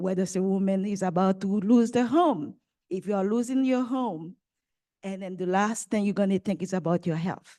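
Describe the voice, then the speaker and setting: A woman with a French accent speaks at a moderate pace and medium pitch, with a dark, mellow tone, against a quiet background. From Haiti. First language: French or Haitian Creole. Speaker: nonprofit maternal health leader. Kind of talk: panel talk. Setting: conference with live audience.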